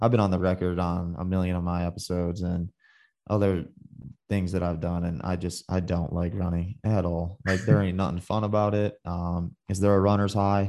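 An American-accented man speaks at a moderate pace with a very deep, low pitch and a dark, mellow tone. His intonation is monotone and flat, over a quiet background. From US Midwest (Michigan). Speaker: hunting podcast host. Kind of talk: casual interview chat.

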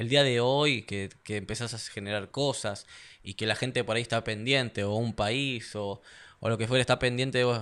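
The speaker has a plain, everyday voice. Delivery comes at a moderate pace with fairly even intonation. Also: man, medium pitch for a man. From Argentina. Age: 30s. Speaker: mixed martial arts fighter. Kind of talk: casual interview chat.

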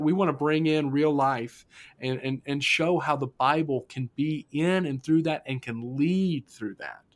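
In a very clean recording with a silent background, a man with an American accent and a plain, everyday voice speaks at a moderate pace with fairly even intonation and a fairly high pitch. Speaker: student ministry pastor. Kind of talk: casual podcast chat about faith.

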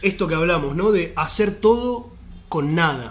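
A man with lively intonation amid audible room echo. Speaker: podcast host. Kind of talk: casual chat.

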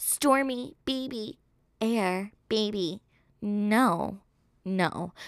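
On a very clean recording with a silent background, a woman of medium pitch speaks in an animated tone with an American accent. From New York. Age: 20s. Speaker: podcast host. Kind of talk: casual monologue.

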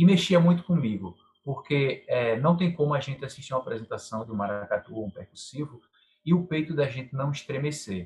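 Speaking at a fairly quick pace, a man with a fairly high pitch sounds somewhat breathy, his intonation lively. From Pernambuco interior, Brazil. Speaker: maracatu master and carnival bloc leader. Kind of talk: interview.

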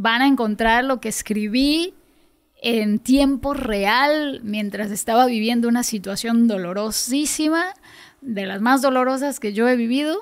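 High-pitched woman at a fairly slow pace with ordinary pitch variation. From Yucatán, Mexico (coastal village). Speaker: singer-songwriter. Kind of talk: interview.

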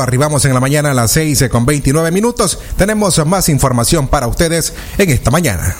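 Over noticeable background noise, a man talks at a fairly quick pace with hardly any pauses, very even loudness and lively intonation. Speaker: radio news anchor. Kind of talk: news reading.

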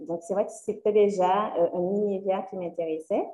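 Against noticeable background noise, a woman speaks at a medium pitch. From Guadeloupe (Le Moule, Sainte-Anne). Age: 20s. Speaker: career coach. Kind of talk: interview.

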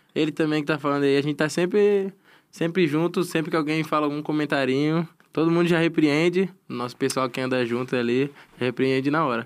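A man talks at a fairly high pitch and a fairly quick pace. The recording is very clean, with a silent background. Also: ordinary pitch variation. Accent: slight Florianópolis. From Florianópolis, Santa Catarina, Brazil. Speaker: professional esports player. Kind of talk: casual chat. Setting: studio.

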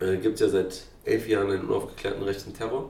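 A man's voice carries audible room echo. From Berlin, Neukölln. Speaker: political candidate. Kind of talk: interview.

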